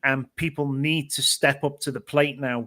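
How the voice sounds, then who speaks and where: A fairly high-pitched man with a British accent, monotone and flat, at a moderate pace on a very clean recording with a silent background. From Britain. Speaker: panelist. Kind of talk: panel discussion.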